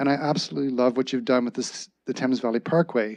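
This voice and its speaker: A man speaks in a plain, everyday voice at medium pitch, with ordinary pitch variation. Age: 60s. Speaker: public delegate at council meeting. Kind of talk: public comment speech. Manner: formal.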